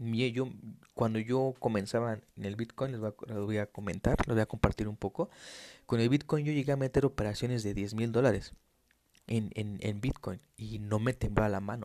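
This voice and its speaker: This man's medium-pitched voice has a dark, mellow tone and fairly even intonation. He keeps a moderate pace on a very clean recording with a silent background. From Mexico City. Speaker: financial trader and market analyst. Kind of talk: solo podcast monologue. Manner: hesitant, frequent fillers.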